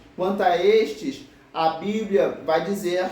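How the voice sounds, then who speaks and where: In a room with audible echo and noticeable background noise, a man talks with ordinary pitch variation. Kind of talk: sermon.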